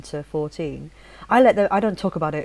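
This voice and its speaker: The voice has a dark, mellow tone, ordinary pitch variation and a fairly quick pace. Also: woman. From Leeds, Yorkshire, England. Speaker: podcast host. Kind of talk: casual chat.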